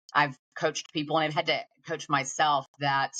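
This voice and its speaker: With a Southern US accent, a woman speaks in a very deep, low pitch and a monotone, flat intonation. The sound is dry and close, with no echo. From Georgia, US South. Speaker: tech sales executive. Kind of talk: interview.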